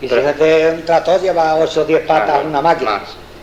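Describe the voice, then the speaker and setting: There is noticeable background noise behind this clip. A man speaks quickly, at a fairly high pitch. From Extremadura, Spain. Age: 70s. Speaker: farmer. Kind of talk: dialect interview answer. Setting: analog tape recording, indoors.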